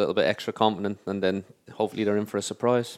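A man with an Irish accent talks very fast in a fairly low pitch with ordinary pitch variation, recorded very cleanly against a silent background with a dry, close sound and no echo. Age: 30s. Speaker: professional footballer. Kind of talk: casual chat. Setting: studio.

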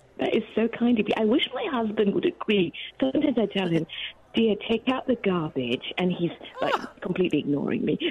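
Over noticeable background noise, a woman with a fairly high voice talks at a fairly quick pace with very wide pitch swings. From Malaysia. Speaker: author. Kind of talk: radio interview. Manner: warm, animated, laughs often.

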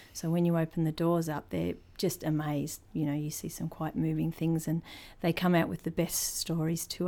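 Heard on a very clean recording with a silent background, a woman with a New Zealand accent speaks at a fairly quick pace, her fairly low voice dark and mellow in tone, with monotone, flat intonation. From New Zealand, born in Christchurch. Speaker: museum creative producer, Maori cultural specialist. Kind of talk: interview.

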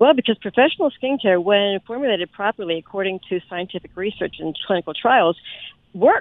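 A woman with an unremarkable speaking voice talks at a medium pitch. Her intonation is lively and her pace fairly quick. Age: 60s. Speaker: skincare business owner. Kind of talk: radio interview.

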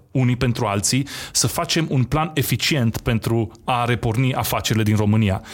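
A man speaks at a fairly slow pace. His is an unremarkable speaking voice, medium in pitch. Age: 30s. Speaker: entrepreneur. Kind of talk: interview.

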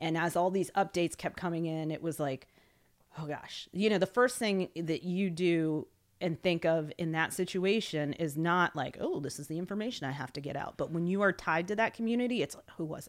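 With an American accent, a woman speaks at a fairly quick pace in a normal speaking voice, fairly low in pitch with ordinary variation and big swings in loudness, on a very clean recording with a silent background. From US Mid-Atlantic, Washington D.C. area. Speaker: former news anchor, military spouse, nonprofit relief worker. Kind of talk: casual interview.

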